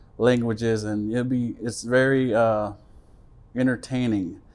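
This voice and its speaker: The man speaks with medium pitch and fairly even intonation at a moderate pace. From Jackson, Mississippi (Choctaw). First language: Choctaw. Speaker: Choctaw language educator. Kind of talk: informal presentation. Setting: museum. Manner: halting, many fillers.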